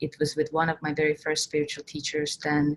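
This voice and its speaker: A woman with an Estonian accent speaks at a moderate pace in a very deep, low pitch. Her intonation is monotone and flat, and the sound is dry and close with no echo. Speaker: spiritual coach and workshop leader. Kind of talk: online workshop talk. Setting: online workshop recording.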